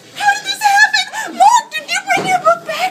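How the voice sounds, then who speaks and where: Here is a shrill, put-on character voice. Its pace is moderate. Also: woman, extremely high pitch for a woman. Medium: voice reel. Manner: shrill, deranged. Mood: accusing, shrill.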